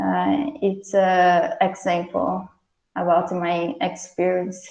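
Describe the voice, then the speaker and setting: Someone with a Brazilian Portuguese accent speaks at a very slow pace. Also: woman. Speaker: researcher. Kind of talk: Q&A after lecture. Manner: halting.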